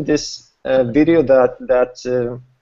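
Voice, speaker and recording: A medium-pitched man with a Swedish accent and ordinary pitch variation. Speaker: network marketing host. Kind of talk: online group hangout presentation.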